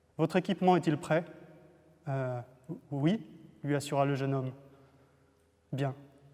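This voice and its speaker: With a dark, mellow tone and fairly even intonation, a man with a fairly high voice speaks at a moderate pace. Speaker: novelist. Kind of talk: fiction reading aloud.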